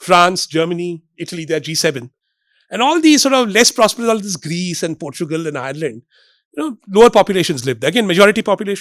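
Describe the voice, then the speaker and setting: With an Indian accent, a man speaks at a very fast pace in an animated tone, using lively intonation at a high pitch, in a dry, close sound with no echo. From India, Bombay. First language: Marathi. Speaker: economist. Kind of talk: public lecture. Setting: stage with audience.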